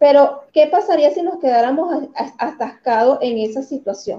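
A woman with a Venezuelan accent speaks at a fairly slow pace in a high, dark and mellow voice with very wide pitch swings. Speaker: motivational coach. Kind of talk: talk show interview.

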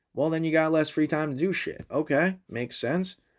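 Recorded very cleanly against a silent background, a man uses an unremarkable speaking voice at a fairly high pitch. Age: 20s. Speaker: sports podcast host. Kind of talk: casual solo monologue. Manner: laughs often.

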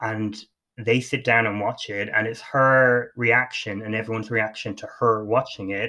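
A man with an Irish accent speaks at a medium pitch with a bright, sharp tone against a quiet background. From Ireland. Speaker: podcast host. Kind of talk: casual chat.

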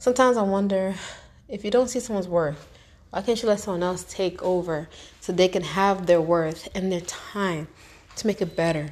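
With a normal speaking voice, a woman talks at a moderate pace and a medium pitch. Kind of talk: motivational spoken-word monologue, reflective and advice-giving. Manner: earnest, conversational, street-smart, direct; reflective, heartfelt, with rhetorical questions and occasional laughs.

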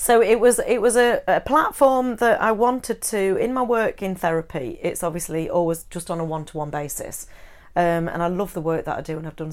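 A woman's fairly quick, lively speech with big swings in loudness, an ordinary speaking voice, on a very clean recording with a silent background. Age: 40s. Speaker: counsellor and psychotherapist. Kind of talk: interview conversation.

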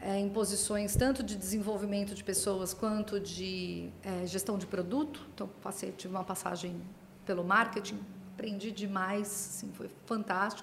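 Woman at a medium pitch, fairly slow and fairly even in intonation, with audible room echo and noticeable background noise. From Brazil, Santos (São Paulo coast). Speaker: pharma consultancy CEO. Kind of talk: interview conversation.

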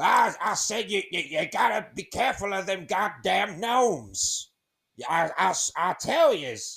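A put-on character voice sits at a fairly high pitch. The delivery is very slow. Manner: gruff, warning.

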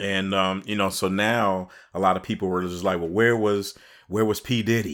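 With fairly even intonation and a fairly low pitch, a man speaks at a moderate pace in an ordinary speaking voice. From Chicago, US Midwest. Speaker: podcast co-host, writer and director. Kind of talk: casual chat.

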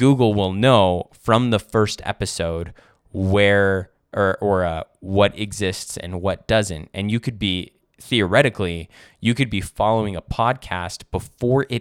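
A man's fairly low voice at a fairly slow pace, with fairly even intonation, on a very clean recording with a silent background and a dry, close sound with no echo. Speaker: podcast host. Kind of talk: casual solo monologue. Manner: halting with frequent fillers; unscripted, conversational.

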